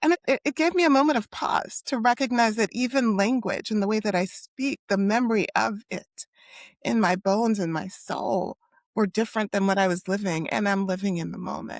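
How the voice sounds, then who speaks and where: Recorded very cleanly with a silent background and a dry, close sound with no echo, a woman with an American accent speaks at a moderate pace with ordinary pitch variation. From US East Coast, Haitian-American. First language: Haitian Creole. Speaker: psychologist. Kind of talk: interview conversation.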